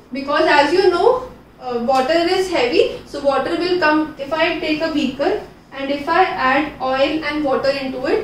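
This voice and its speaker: Speaking at a moderate pace in a high pitch, a woman is heard with light background noise and audible room echo. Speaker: teacher. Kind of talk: lecture. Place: classroom.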